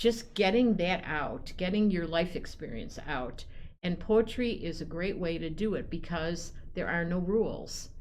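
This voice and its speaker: Over audible room echo, a woman speaks at a fairly slow pace and fairly low pitch with ordinary pitch variation. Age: 70s. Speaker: poet laureate. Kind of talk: casual chat. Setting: studio.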